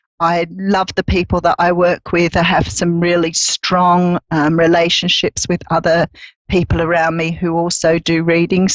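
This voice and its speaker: Fairly slow speech from a woman with an Australian accent. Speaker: psychic reader. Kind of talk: casual chat. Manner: hesitant, many fillers.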